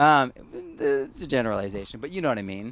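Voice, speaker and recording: A New York accent with lively intonation, on a very clean recording with a silent background. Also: man. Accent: sounds like Brooklyn. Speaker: permaculture author and speaker. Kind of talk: talk at a farm event. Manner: casual, many fillers and repetitions.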